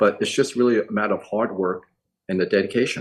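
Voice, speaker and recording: This man speaks in a New York accent. His pace is fairly quick. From New York City, Chinatown (emigrated from Hong Kong at five). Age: 60s. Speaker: eye surgeon. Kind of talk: interview.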